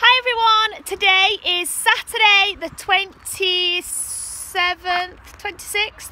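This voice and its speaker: A woman's raised, projected voice comes at a very slow pace with fairly even intonation, in a dry sound with no echo and light background noise. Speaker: family vlogger. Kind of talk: casual vlog chat. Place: forest. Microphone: phone near.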